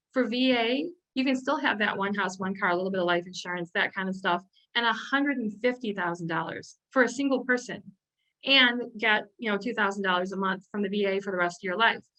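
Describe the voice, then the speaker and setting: A woman of medium pitch at a fairly quick pace, with ordinary pitch variation. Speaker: elder law attorney. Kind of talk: presentation. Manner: fast.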